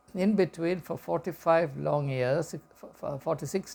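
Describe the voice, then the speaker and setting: With ordinary pitch variation, the man's delivery moves at a fairly slow pace. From India, Kerala. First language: Malayalam. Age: 60s. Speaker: educator and commentator. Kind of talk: reflective talk to camera. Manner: halting, with repetitions and fillers.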